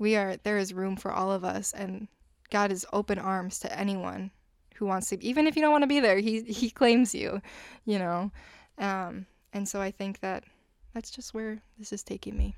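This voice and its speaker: In an ordinary speaking voice, a woman talks at a medium pitch and a moderate pace with ordinary pitch variation. The recording is very clean, with a silent background. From United States. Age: 20s. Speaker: music education student. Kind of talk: casual chat; scripture reading.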